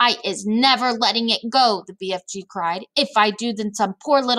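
A natural reading voice. Its pitch moves in an ordinary way.

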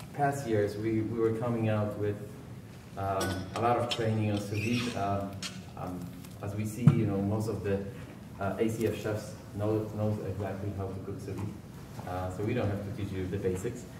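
A man with a fairly low pitch speaks in a flat monotone, taking long, frequent pauses, with audible room echo and noticeable background noise. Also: moderate pace. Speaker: presenter. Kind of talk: lecture. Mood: light, joking. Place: hall.

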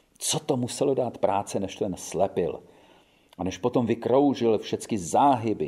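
Simple, plain reading aloud.

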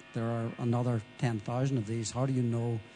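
A man's voice over background music. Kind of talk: interview answer. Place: hall. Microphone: handheld.

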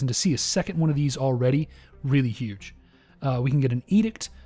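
The voice has lively intonation. Music can be heard in the background. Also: man. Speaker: gaming youtuber. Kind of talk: let's play commentary. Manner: casual, with frequent filler words.

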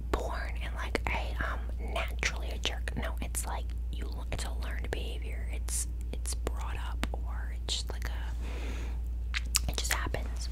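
Over loud background noise, a soft-spoken voice moves at a fairly slow pace. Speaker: ASMR creator. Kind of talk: soft ASMR affirmations. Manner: soft close-mic ASMR voice. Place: home room. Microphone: studio mic.

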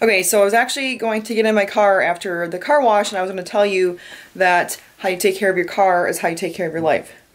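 In an American accent, a woman talks very fast at a medium pitch with ordinary pitch variation. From Michigan, Detroit area. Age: 20s. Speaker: vlogger. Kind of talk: casual vlog narration. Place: home room. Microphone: phone near.

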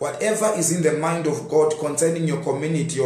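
A man talks at a moderate pace with ordinary pitch variation, and audible room echo can be heard. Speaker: preacher. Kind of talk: sermon. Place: home room. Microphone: phone near.

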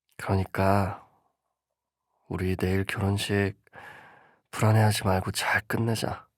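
A man talks at a very slow pace and a fairly low pitch, with monotone, flat intonation and long, frequent pauses. The recording is very clean, with a silent background. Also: dry, close sound with no echo. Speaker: ASMR voice actor playing a boyfriend. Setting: close-mic bedroom roleplay.

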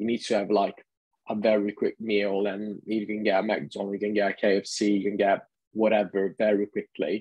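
The speaker talks at a moderate pace with an Italian accent and monotone, flat intonation. The sound is dry with no echo, over a quiet background. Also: man, fairly low pitch for a man. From Italy. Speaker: vegan lifestyle advocate; guest. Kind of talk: interview; interview answer. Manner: repetitive stammering restarts. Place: home room. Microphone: video call.

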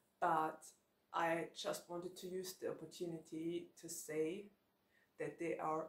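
A woman speaks very slowly at a fairly low pitch. Audible room echo surrounds her voice. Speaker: book vlogger. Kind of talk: casual vlog chat. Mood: cheerful, laughs often. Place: home room.

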